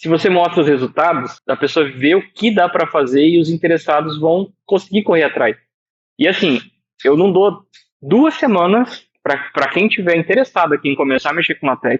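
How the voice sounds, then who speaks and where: A man speaks at a moderate pace in a high pitch with ordinary pitch variation, the sound dry and close with no echo. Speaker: math teacher and LaTeX tutorial creator. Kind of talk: online lecture / tutorial.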